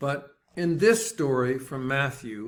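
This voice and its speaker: Fairly high in pitch, a man with a plain, everyday voice speaks at a fairly slow pace. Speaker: preacher. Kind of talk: sermon delivered to a congregation.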